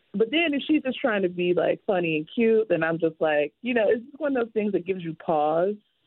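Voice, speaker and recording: At a fairly quick pace with hardly any pauses, a woman of medium pitch speaks with very wide pitch swings and big swings in loudness. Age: 30s. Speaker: professor. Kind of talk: casual chat.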